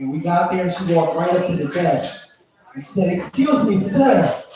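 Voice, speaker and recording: The man's voice sits at a high pitch. Audible room echo surrounds it. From Haitian family. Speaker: stand-up comedian. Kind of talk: stand-up.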